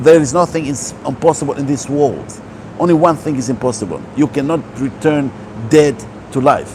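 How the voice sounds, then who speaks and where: Fairly high pitch from a man, with ordinary pitch variation and noticeable background noise. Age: 60s. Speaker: holistic health speaker. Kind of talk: motivational talk.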